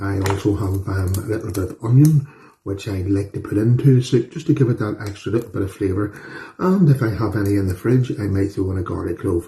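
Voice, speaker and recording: A man's voice, fairly low in pitch, carries a dark, mellow tone and sounds somewhat breathy. He speaks at a fairly quick pace with ordinary pitch variation. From Northern Ireland. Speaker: home cooking youtuber. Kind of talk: cooking tutorial. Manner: casual, chatty with fillers.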